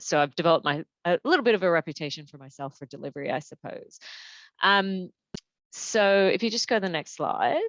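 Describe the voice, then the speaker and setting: An ordinary speaking voice, hers moves at a fairly quick pace. The woman sits at a medium pitch with lively intonation. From Canada. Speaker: project manager in construction. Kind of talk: career talk presentation.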